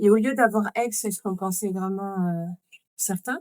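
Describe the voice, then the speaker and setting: A woman speaks at a medium pitch with an unremarkable speaking voice. Her pace is fairly slow and her pitch varies in an ordinary way. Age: 40s. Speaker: mother living with chronic illness, podcast guest. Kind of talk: podcast interview.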